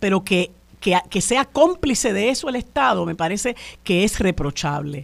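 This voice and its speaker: A woman's voice with very wide pitch swings. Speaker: radio co-host, lawyer. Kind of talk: radio talk show discussion. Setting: radio studio.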